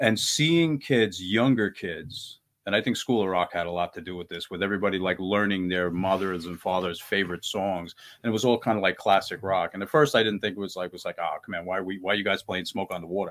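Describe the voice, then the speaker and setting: Talking at a very fast pace with hardly any pauses, a man uses a fairly low pitch with ordinary pitch variation. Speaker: band guitarist. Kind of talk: casual interview chat.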